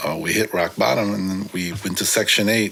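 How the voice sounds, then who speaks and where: The speaker has a Californian accent and a relaxed tone at a fairly quick pace. Intonation is fairly even over noticeable background noise. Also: man. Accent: Californian American English. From San Francisco, California. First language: Korean. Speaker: graffiti writer. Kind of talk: casual interview. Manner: relaxed, many fillers.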